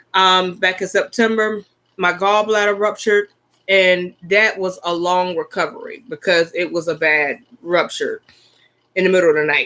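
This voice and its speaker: A woman with an American accent speaks at medium pitch in a bright, sharp tone. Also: moderate pace. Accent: strong Southern accent, thicker when excited. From US South (Florida and South Carolina). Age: 40s. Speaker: YouTuber. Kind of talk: casual livestream chat.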